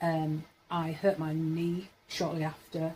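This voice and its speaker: A woman's fairly low, somewhat breathy voice with a dark, mellow tone and monotone, flat intonation. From Yorkshire, northern England. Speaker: vlogger. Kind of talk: casual monologue vlog. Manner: rambling, hesitant with fillers.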